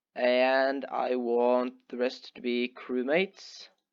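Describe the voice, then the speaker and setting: A man is speaking. His pitch sits in the medium range. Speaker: gaming YouTuber. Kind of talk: tutorial. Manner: halting. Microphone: headset microphone held too close.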